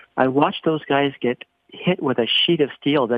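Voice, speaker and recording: A man speaks in a Canadian Prairie accent at a moderate pace. His pitch is fairly high, with ordinary variation. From Northern Saskatchewan, Canada. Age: 60s. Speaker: business owner, wildfire victim. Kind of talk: interview. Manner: halting with repetitions.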